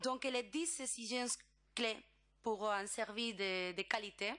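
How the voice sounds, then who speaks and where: A woman talks at a very slow pace with a Spanish accent. Her tone is bright and sharp, with ordinary pitch variation. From Spain. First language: Spanish (speaking French). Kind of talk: conference presentation. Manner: halting, many hesitations.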